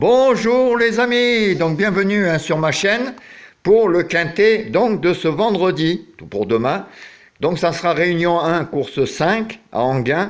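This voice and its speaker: A man's high pitch and lively intonation at a very slow pace. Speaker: horse racing tipster. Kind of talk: casual tipster talk to viewers. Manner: hesitant, many fillers.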